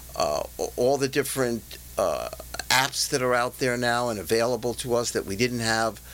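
Here a man speaks at a medium pitch. Noticeable background noise runs underneath. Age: 60s. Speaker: executive coach and trainer. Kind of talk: interview.

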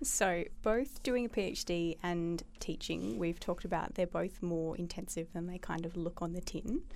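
Vocal fry at a moderate pace, ordinary pitch variation, and hardly any pauses. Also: woman, fairly low pitch for a woman. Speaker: podcast interviewer. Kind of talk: interview.

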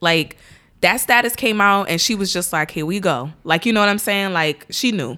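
On a very clean recording with a silent background, a woman with an American accent speaks at a moderate pace in a bright, sharp tone with very wide pitch swings. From Irvington, New Jersey. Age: 30s. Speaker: podcast guest, mother. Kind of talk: casual chat.

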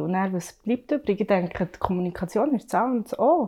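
A woman speaks with a dark, mellow tone. Her pitch is medium and her pace is moderate. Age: 30s. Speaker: working mother. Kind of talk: casual discussion.

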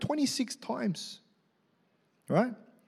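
Speaking in an Australian accent, a man with an extremely high pitch sounds animated, with lively intonation, in a very clean recording with a silent background. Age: 40s. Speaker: pastor. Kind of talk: sermon. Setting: church.

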